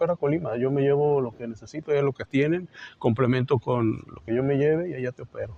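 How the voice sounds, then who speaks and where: An ordinary speaking voice from a man, fairly high in pitch, at a fairly quick pace with fairly even intonation. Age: 60s. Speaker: surgeon, cancer survivor. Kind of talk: testimony.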